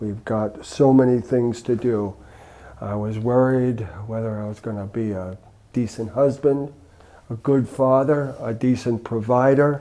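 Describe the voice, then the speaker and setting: With an American accent, a man speaks at a medium pitch in a dark, mellow tone. His intonation is fairly even, while his loudness swings widely. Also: fairly slow pace. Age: 70s. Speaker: retired chaplain and minister. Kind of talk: casual interview conversation.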